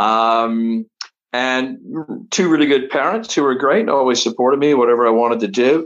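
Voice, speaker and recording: Here a man speaks in an ordinary speaking voice at a medium pitch and moderate pace. His loudness stays very even, with ordinary pitch variation. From Canada, Toronto. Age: 60s. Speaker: travel entrepreneur and ski racer. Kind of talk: interview storytelling.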